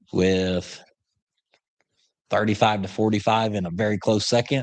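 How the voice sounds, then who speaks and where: Speaking at a moderate pace with an Oklahoma accent, a man talks in a fairly low pitch and fairly even intonation against a quiet background. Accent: Southern US, Oklahoma. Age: 30s. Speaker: upholstery shop owner, YouTuber. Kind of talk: casual live-stream chat reading viewer questions. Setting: live stream from shop.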